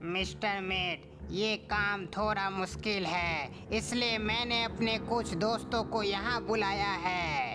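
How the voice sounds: A cartoonish character voice sits at a middle pitch, with loud background noise behind it. The pace is very slow, yet there are hardly any pauses.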